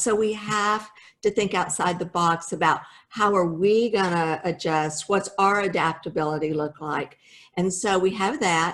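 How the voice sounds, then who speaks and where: A woman with an ordinary speaking voice talks at a medium pitch and fairly slow pace, with ordinary pitch variation. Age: 60s. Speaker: home builder company founder. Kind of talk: motivational business talk. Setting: video call.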